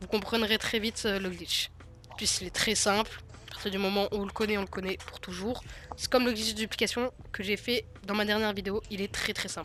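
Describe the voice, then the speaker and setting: Monotone and flat, a woman speaks at a medium pitch. Her pace is moderate. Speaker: gaming youtuber. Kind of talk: gameplay tutorial. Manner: halting, many fillers.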